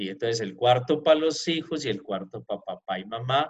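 This man has a normal speaking voice. He talks at a fairly slow pace with lively intonation. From Pereira, Colombia. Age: 40s. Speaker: entrepreneur sharing his life story. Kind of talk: interview, personal life story.

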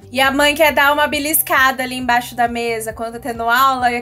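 Music plays behind a woman whose high voice is raised and projected. She speaks at a fairly quick pace in a monotone, flat intonation. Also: hardly any pauses. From Brazil, Bauru (São Paulo state). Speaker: radio co-host. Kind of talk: radio talk show.

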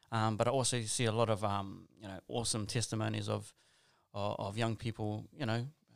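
Recorded very cleanly with a silent background, a man with a New Zealand accent speaks in a fairly low, monotone, flat voice. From New Zealand, South Auckland. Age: 30s. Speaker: school chaplain and youth worker. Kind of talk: casual interview.

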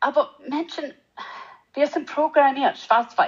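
The pace is very slow. A woman talks at a high pitch. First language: English (speaking German). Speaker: animal geneticist. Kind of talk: interview. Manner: halting, hesitant non-native German.

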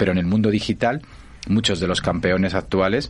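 A man talks with vocal fry. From Spain, Asturias. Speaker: innovation foundation director. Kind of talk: interview.

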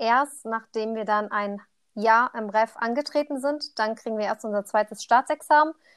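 A woman speaks in an ordinary speaking voice at a moderate pace and fairly high pitch, the sound dry and close with no echo over a quiet background. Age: 20s. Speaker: trainee primary teacher. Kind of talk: casual chat.

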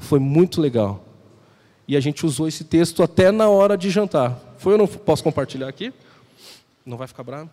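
A man speaks at a moderate pace in a fairly high pitch, with a dark, mellow tone and lively intonation. His loudness swings widely, broken by long, frequent pauses. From southern Brazil, Porto Alegre. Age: 30s. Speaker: visiting preacher. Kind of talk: sermon. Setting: church.

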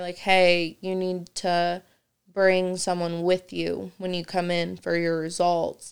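A woman with a Midwestern American accent talks very slowly at a medium pitch, her intonation flat and monotone. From Indiana, Kokomo. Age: 20s. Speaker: stay-at-home mother, cancer survivor. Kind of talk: casual chat.

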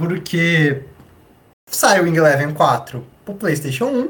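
Very wide pitch swings run through a man's fairly high voice, heard with audible room echo. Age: 20s. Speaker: podcast host, historian. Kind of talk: casual chat.

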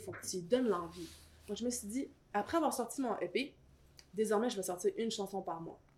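A woman speaks at a fairly quick pace with a Quebec accent. Her pitch is fairly high, and her intonation is lively. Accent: Québécois French. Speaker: rapper and singer. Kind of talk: casual interview chat.

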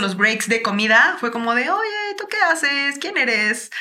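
A woman's voice with audible room echo. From Mexico, Chiapas. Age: 30s. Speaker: singer-songwriter. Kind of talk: casual interview chat.

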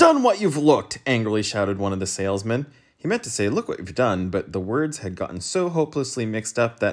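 A natural reading voice carries the recording.

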